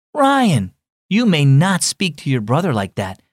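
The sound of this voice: In a put-on character voice, a man with a fairly high pitch makes very wide pitch swings at a fairly slow pace, on a very clean recording with a silent background.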